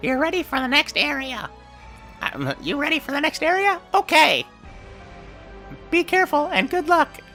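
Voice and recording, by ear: A high-pitched, put-on character voice plays over clear music in the background. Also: moderate pace.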